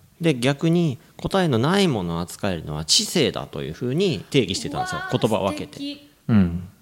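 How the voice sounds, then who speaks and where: A man talks at a moderate pace with very wide pitch swings over noticeable background noise. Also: medium pitch for a man. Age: 40s. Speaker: English coach and podcast co-host. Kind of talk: casual chat with explanatory talk.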